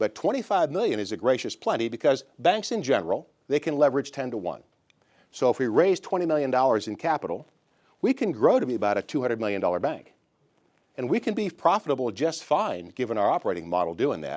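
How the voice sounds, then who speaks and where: A man with an American accent and a fairly high pitch talks at a very fast pace, with vocal fry and very wide pitch swings. The recording is very clean, with a silent background. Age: 60s. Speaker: bank founder. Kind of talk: investor pitch. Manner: casual, conversational.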